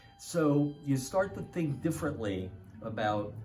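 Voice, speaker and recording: Over noticeable background noise and audible room echo, a man with an American accent talks at a fairly slow pace with lively intonation. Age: 70s. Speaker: retired dentist, student of qigong. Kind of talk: testimony. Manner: halting.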